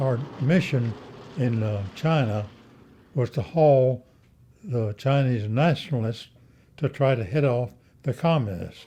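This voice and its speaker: In an American accent, a somewhat breathy man talks at a fairly slow pace with ordinary pitch variation, leaving long, frequent pauses. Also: medium pitch for a man. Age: 80s+. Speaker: war veteran. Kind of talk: interview answer.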